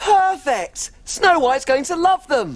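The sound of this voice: A man's put-on character voice, extremely high in pitch with big swings, at a slow pace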